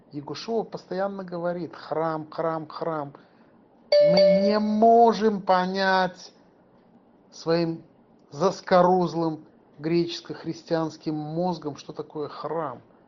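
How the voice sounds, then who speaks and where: The speaker talks at a very slow pace, with long, frequent pauses. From former Soviet Union. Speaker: lay religious teacher. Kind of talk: sermon.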